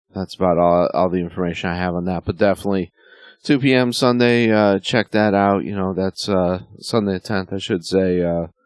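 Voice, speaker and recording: At a fairly quick pace, a man with a very deep, low pitch speaks with ordinary pitch variation. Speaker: wrestling podcast host. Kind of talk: casual monologue. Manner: many fillers, halting.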